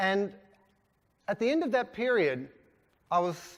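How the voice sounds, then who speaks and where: A man with an Australian accent, lively intonation and a moderate pace. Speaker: keynote speaker, brand consultant. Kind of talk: keynote talk. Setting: conference stage with audience. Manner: animated.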